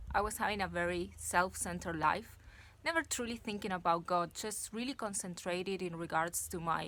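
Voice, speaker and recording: A woman speaks at a fairly slow pace in a medium pitch with ordinary variation and a bright, sharp tone. The recording is very clean, with a silent background. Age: 30s. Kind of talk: casual talk to camera. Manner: improvised, hesitant.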